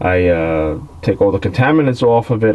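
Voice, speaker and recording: Over light background noise, a man with a fairly low pitch talks at a moderate pace in an unremarkable speaking voice. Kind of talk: tutorial. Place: garage.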